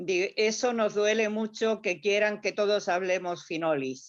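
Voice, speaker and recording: Very slow pace from a woman at a medium pitch, her intonation fairly even. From Granada, Andalusia. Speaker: audience member. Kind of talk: audience question and thanks. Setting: video call.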